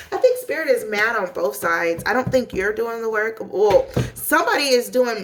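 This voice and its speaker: A woman's lively intonation at a moderate pace, amid noticeable background noise. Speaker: tarot reader. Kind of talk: tarot reading monologue. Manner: animated, casual; stumbling over words.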